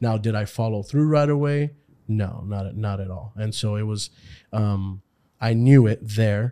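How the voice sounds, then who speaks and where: Dark and mellow in tone, this voice has ordinary pitch variation and an American accent. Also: man, fairly low pitch for a man, fairly slow pace. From Houston, Texas. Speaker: pastor. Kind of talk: casual chat.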